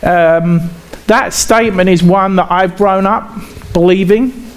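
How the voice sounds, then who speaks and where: A man talks fairly slowly while noticeable background noise carries on around him. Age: 40s. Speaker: pastor. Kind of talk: sermon.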